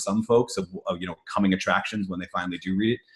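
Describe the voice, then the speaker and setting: In an American accent, a man speaks with very wide pitch swings. His voice is somewhat breathy. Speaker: nonfiction business book author. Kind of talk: casual Q&A chat. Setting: video call.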